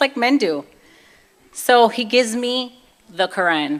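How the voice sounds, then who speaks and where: In a Brooklyn accent, a woman talks at a fairly high pitch with very wide pitch swings. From US Northeast, Brooklyn, New York. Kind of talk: testimony.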